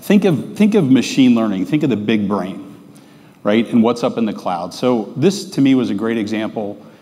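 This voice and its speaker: With lively intonation and a moderate pace, a man talks while the background stays quiet. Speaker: presenter. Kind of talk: conference talk. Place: stage. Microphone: lapel.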